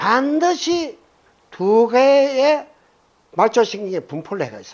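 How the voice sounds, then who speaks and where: A man talks with very wide swings in pitch. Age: 70s. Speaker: retired biology professor lecturing on Buddhist teaching. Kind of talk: lecture. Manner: casual, conversational with audience questions.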